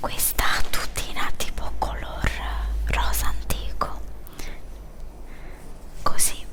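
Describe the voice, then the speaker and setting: A woman whispers very slowly, leaving long, frequent pauses, over noticeable background noise. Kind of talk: ASMR unpacking and try-on video, casual talk to camera. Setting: ASMR video with water sounds.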